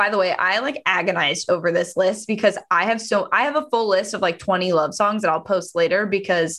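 A woman speaks at a moderate pace in a medium pitch with ordinary variation. Her tone is bright and sharp. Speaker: podcast co-host. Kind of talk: casual chat.

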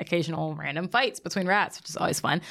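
With vocal fry and a fairly low pitch, a woman speaks at a very fast pace. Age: 20s. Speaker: podcast guest. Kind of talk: casual chat.

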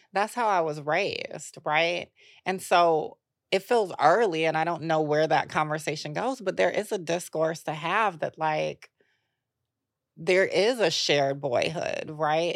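On a very clean recording with a silent background, a woman with an unremarkable speaking voice talks at a fairly slow pace and fairly low pitch, her pitch varying in an ordinary way. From US South, Atlanta. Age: 30s. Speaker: author and activist. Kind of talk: podcast interview.

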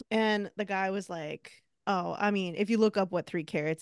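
A woman speaks in a plain, everyday voice with ordinary pitch variation. The background is quiet. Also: dry, close sound with no echo. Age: 30s. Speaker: podcast host. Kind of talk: casual chat.

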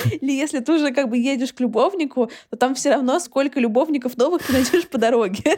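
A woman's high-pitched, very fast speech with ordinary pitch variation amid noticeable background noise. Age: 20s. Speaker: podcast host. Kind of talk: casual chat.

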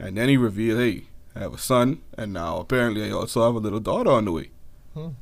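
A man with a Bahamian accent, medium-pitched, fairly quick, with ordinary pitch variation. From Bahamas. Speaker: podcast co-host. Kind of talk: casual chat.

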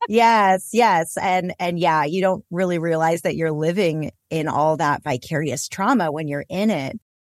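With an American accent and an ordinary speaking voice, a woman talks at a fairly slow pace with hardly any pauses, her fairly low pitch varying in an ordinary way, in a dry, close sound with no echo. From US West, Los Angeles. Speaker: intimacy coach and author. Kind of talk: interview.

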